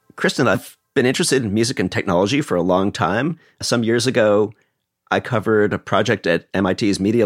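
A man speaks with a fairly low pitch, ordinary pitch variation and very even loudness. The sound is dry and close with no echo, in a very clean recording over a silent background. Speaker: co-host, science writer and former magazine editor. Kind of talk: scripted podcast hosting.

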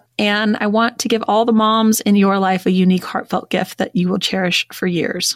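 With a warm, upbeat tone, a woman speaks at a moderate pace in a dry, close recording with no echo. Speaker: podcast host. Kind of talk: casual interview chat. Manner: warm, upbeat, animated.

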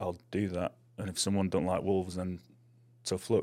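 In a British accent, a man with a very deep, low voice talks at a fairly quick pace. His intonation is monotone and flat, on a very clean recording with a silent background. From England. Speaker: artist. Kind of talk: casual chat. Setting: studio.

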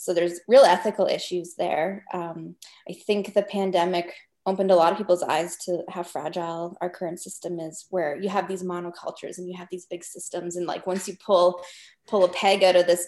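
Talking at a fairly quick pace with a Canadian accent, a woman of medium pitch keeps a monotone, flat intonation. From Northwest Territories, Canada. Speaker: documentary filmmaker. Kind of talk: interview.

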